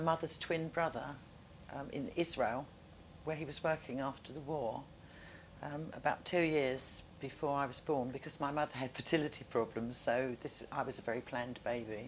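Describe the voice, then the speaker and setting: With a southern English accent, a woman speaks at a moderate pace, her loudness swinging widely. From South London. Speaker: oral history interviewee. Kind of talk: interview.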